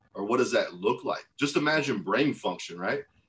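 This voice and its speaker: A very fast-talking man. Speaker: chiropractic practice coach. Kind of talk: group coaching call. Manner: forceful.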